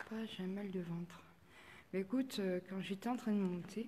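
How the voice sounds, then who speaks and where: A woman speaks at a moderate pace in a medium-pitched, somewhat breathy voice with a dark, mellow tone and fairly even intonation. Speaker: paranormal investigator. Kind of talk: live stream investigation commentary. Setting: chapel, live stream. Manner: halting.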